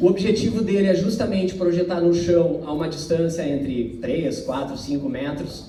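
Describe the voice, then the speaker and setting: A high-pitched man with a southern Brazilian accent at a moderate pace, with audible room echo. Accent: gaúcho (southern Brazilian). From southern Brazil (Porto Alegre, Rio Grande do Sul). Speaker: company representative presenting safety technology. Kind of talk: corporate presentation. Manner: conversational, many filler words.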